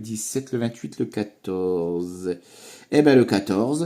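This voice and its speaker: The recording is very clean, with a silent background. A man speaks in a fairly low pitch with a dark, mellow tone and ordinary pitch variation. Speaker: scratch-card YouTuber. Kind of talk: casual chat. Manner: animated.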